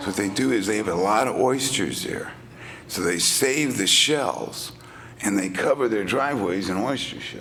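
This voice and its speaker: Over noticeable background noise and audible room echo, a man with an American accent speaks in a fairly low pitch with lively intonation. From Texas, Beaumont. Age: 60s. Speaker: recovering alcoholic speaker. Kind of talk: testimony. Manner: animated, halting with fillers.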